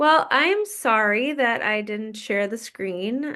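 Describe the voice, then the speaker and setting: A woman speaks with a Wisconsin accent. Her tone is bright and sharp over a quiet background. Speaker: fitness coach. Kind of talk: group coaching call.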